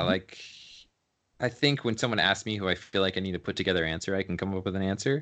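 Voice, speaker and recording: Over a quiet background, a man speaks in a fairly low pitch with a General American accent. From US, San Francisco Bay Area. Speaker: photographer. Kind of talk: interview.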